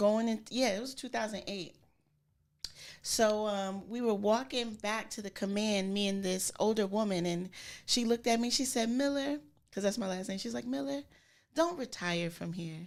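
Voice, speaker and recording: A woman's medium-pitched voice with an American accent and lively intonation, at a moderate pace, in a very clean recording with a silent background. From Springfield, Massachusetts. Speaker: barber and barbershop owner. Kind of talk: podcast interview. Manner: casual, with many fillers.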